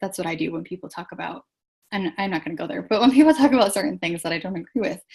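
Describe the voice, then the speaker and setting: Very fast and somewhat breathy, a woman talks with lively intonation over a quiet background. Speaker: business coach. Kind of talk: live webinar. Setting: livestream with chat. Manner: animated.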